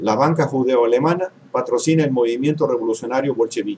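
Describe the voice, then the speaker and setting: A man with a dark, mellow tone talks at a moderate pace over light background noise. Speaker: history commentator. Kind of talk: lecture. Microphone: webcam.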